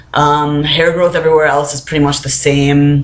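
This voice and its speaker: Through audible room echo and noticeable background noise, a man speaks in a monotone, flat intonation at a fairly high pitch. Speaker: vlogger. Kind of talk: casual vlog. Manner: many filler words.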